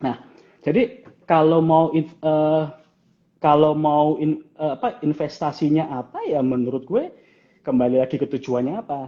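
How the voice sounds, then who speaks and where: A man with a strong Javanese accent speaks at a fairly slow pace in a fairly high voice with ordinary pitch variation. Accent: thick Javanese. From Java, Indonesia. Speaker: financial planner. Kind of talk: casual live-stream interview. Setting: Instagram live stream. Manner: animated.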